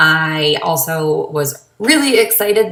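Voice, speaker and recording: An animated woman speaks with an American accent. Audible room echo and noticeable background noise surround her voice. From Massachusetts. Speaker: vlogger. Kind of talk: casual vlog monologue.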